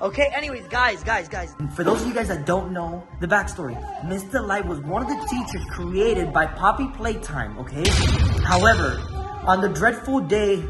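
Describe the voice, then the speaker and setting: Over music in the background, a man talks at a moderate pace. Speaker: vlogger. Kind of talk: casual vlog chat. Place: home room. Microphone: phone near.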